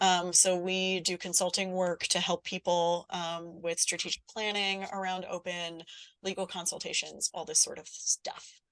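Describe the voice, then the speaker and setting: At a moderate pace, a woman talks at medium pitch in a plain, everyday voice, the sound dry and close with no echo against a quiet background. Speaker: workshop presenter. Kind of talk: webinar workshop.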